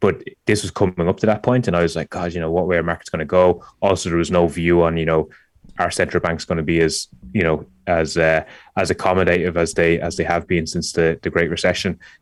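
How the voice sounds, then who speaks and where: The speaker talks at a very fast pace in an Irish accent, with monotone, flat intonation. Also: man, very deep, low pitch for a man. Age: 30s. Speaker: startup founder. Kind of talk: podcast interview. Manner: halting, many repetitions.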